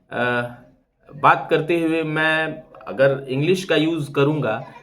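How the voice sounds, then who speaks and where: A fairly high-pitched man with ordinary pitch variation, heard with audible room echo. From eastern Uttar Pradesh (Purvanchal, Bhojpuri belt). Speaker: YouTuber. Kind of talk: live stream monologue. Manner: hesitant, many fillers.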